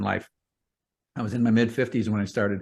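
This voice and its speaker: Speaking at a medium pitch, a man uses fairly even intonation with vocal fry. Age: 60s. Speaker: real estate investor. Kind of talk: podcast interview.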